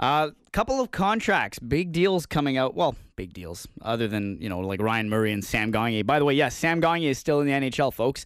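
A man with a Canadian accent speaks at a moderate pace in a medium pitch, with very wide pitch swings and hardly any pauses. The recording is very clean, with a silent background. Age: 20s. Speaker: sports podcast host. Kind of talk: casual chat.

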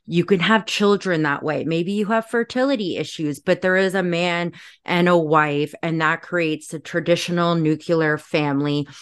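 With hardly any pauses, a woman talks at a moderate pace and a fairly low pitch. Her pitch varies in an ordinary way against a quiet background. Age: 30s. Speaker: social media creator. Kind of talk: casual chat.

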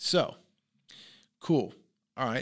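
A loud man with a New York accent at a moderate pace, on a very clean recording with a silent background. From New York, Long Island. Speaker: entrepreneur and business coach. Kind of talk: interview conversation. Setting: podcast studio.

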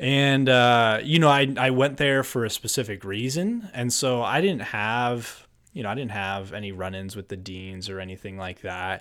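Using a normal speaking voice, a man with an American accent talks at a moderate pace and medium pitch, with lively intonation, big swings in loudness and hardly any pauses, on a very clean recording with a silent background. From New Jersey. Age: 20s. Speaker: podcast guest. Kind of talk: casual chat.

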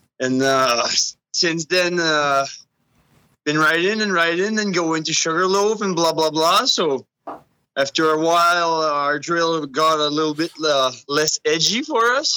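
In a French Canadian accent, the speaker talks at a fairly slow pace with a bright, sharp tone, very even loudness and ordinary pitch variation. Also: man, fairly high pitch for a man. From Edmundston, New Brunswick. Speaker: mountain biker and trail builder. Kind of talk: casual chat.

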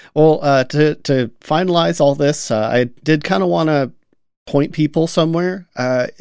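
This man speaks at a fairly high pitch. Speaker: podcast host. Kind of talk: casual chat. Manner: conversational, hesitant with fillers.

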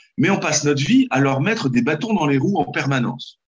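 At a moderate pace, a man speaks in a somewhat breathy voice with a fairly high pitch. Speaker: parliamentary candidate. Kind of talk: political interview.

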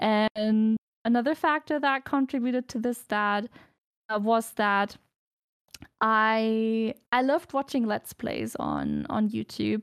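A woman speaks at a very slow pace with a non-native accent. The recording is very clean, with a silent background and a dry, close sound without echo. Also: ordinary pitch variation. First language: not English. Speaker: streamer. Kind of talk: casual chat.

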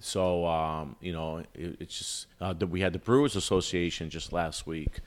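A man with an American accent talks in a very deep, low voice at a moderate pace. His pitch variation is ordinary. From Albany, Capital Region, New York. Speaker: bar manager. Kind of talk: casual chat. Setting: cigar lounge.

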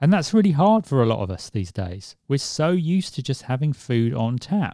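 A plain, everyday voice: a man at a medium pitch and moderate pace, recorded very cleanly against a silent background with a dry, close sound and no echo. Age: 40s. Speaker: podcast host. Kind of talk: solo podcast monologue. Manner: conversational.

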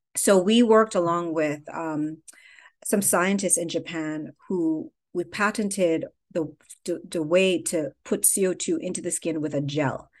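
Against a quiet background, a woman talks fairly slowly in an unremarkable speaking voice, fairly low in pitch with ordinary pitch variation. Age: 50s. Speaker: skincare company founder. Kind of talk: interview.

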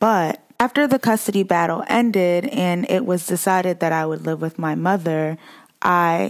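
Woman with an American accent, fairly low pitch, lively intonation and a moderate pace, in a normal speaking voice. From Boston, Massachusetts. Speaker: social work graduate student, podcaster. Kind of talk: casual interview, personal testimony.

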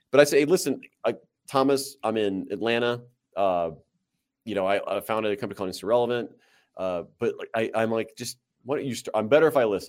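Lively intonation marks this man's medium-pitched voice with a Midwestern American accent. He speaks at a very fast pace on a very clean recording with a silent background. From US Midwest, Central Illinois and St. Louis. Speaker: company founder and marketing consultant. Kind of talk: interview conversation.

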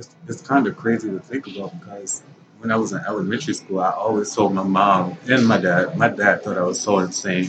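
A man with a fairly low pitch speaks at a fairly quick pace, his loudness swinging widely and his pitch varying in an ordinary way over background music. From Baltimore, Maryland. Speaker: young entrepreneur, clothing store owner. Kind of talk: interview. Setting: shopping mall.

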